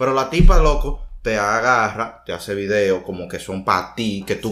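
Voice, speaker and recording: This is a man speaking with a Dominican accent. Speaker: podcast co-host. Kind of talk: casual chat.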